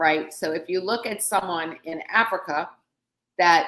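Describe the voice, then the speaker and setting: A woman speaks in a New Orleans accent at medium pitch. Her pace is fairly slow. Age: 50s. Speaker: counselor and life coach. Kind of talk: interview. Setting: live stream.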